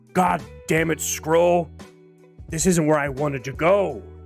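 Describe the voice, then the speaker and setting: Putting on a raspy character voice, a man speaks fairly slowly at a fairly high pitch, with faint music in the background. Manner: exasperated, grumbling.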